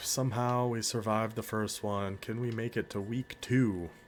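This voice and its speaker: A man speaks at a moderate pace with an American accent. His voice sits at a medium pitch. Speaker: video game streamer. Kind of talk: gameplay commentary. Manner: animated.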